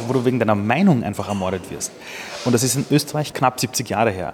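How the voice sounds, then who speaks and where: With noticeable background noise behind him, a man of medium pitch speaks at a fairly quick pace. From Austria. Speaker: entrepreneur. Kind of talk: interview. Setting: press conference sidelines.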